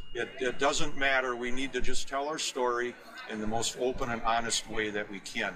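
With an American accent, a man talks at a moderate pace and medium pitch, his intonation fairly even, over noticeable background noise. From US Midwest, Wisconsin. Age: 60s. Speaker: dairy farmer. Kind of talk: interview. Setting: trade show.

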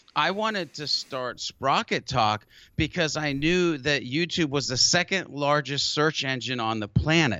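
Lively intonation shapes a man's plain, everyday voice, which sits at a fairly high pitch and keeps a moderate pace. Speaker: marketing tutorial YouTuber, workshop trainer. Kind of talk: casual interview.

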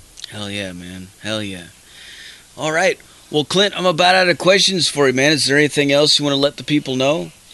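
A man's fairly high, fairly quick voice, with very wide pitch swings and big swings in loudness, over noticeable background noise. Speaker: radio host. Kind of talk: radio dj patter. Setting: live radio show, studio. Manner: loud, fired-up, profanity-laden hype; casual, dude-bro enthusiastic.

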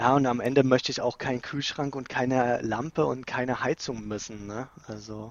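Medium-pitched man's voice, an ordinary speaking voice, fairly even in intonation with hardly any pauses. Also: moderate pace. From Saxony, Dresden. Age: 30s. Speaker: office worker. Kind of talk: casual chat. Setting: remote call from home office.

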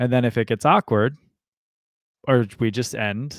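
A man talks at a moderate pace and a medium pitch, his intonation fairly even. The recording is very clean with a silent background, dry and close with no echo. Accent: American. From US Midwest, north central Ohio. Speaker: podcast host. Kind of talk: casual chat. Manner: halting, many repetitions.

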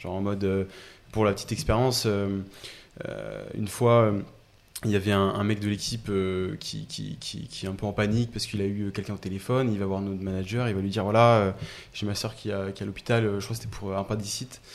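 A man at a fairly low pitch with monotone, flat intonation, a fairly quick pace and long, frequent pauses. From Paris region, Essonne. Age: 20s. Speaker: startup co-founder. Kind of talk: casual interview chat.

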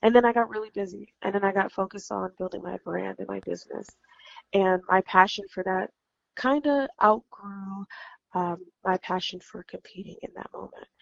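An unremarkable speaking voice from a woman with an American accent, medium in pitch, at a moderate pace, with ordinary pitch variation and big swings in loudness. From California. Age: 30s. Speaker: professional bikini competitor. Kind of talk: interview conversation. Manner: frequent um fillers.

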